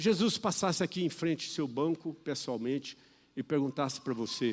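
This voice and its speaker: A man's fairly high voice, lively in intonation, at a moderate pace. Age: 60s. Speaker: preacher. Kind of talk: sermon.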